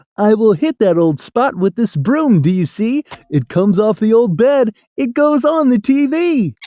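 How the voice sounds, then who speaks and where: In a put-on character voice, the speaker pitches fairly high and makes very wide pitch swings. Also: moderate pace. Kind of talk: rhyming read-aloud. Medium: read story. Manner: eager, busy.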